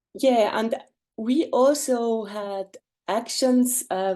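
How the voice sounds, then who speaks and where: A woman with a German accent speaks in a dark, mellow tone with ordinary pitch variation over a quiet background. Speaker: artist and lawyer presenting a project. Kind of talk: webinar presentation. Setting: video call. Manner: halting, many fillers.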